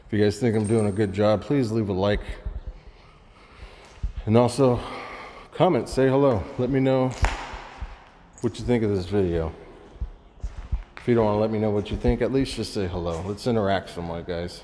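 A man's ordinary speaking voice, fairly low in pitch, at a fairly quick pace with ordinary pitch variation, over light background noise. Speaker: urban explorer vlogger. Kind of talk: casual vlog chat. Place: empty room. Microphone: phone near.

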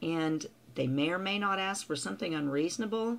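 With vocal fry, a woman talks at a moderate pace. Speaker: customer service trainer. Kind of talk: tutorial. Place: home room. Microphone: webcam.

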